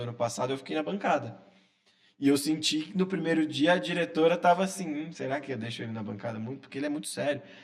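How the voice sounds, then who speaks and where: A man speaks at a very fast pace in a fairly high voice. His intonation is lively. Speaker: sports journalist. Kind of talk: casual interview chat. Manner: quiet-spoken at times.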